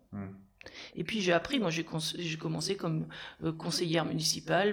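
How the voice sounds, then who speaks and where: Background noise is clearly present. A woman does the talking. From France, Cher (Centre-Val de Loire). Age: 50s. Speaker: mayor. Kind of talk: interview.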